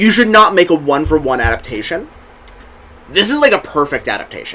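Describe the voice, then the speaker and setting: Talking at a fairly quick pace in a Southern US accent, a man uses a high pitch with very wide pitch swings. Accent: faint Southern accent on some words. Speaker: podcast co-host. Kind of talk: casual chat.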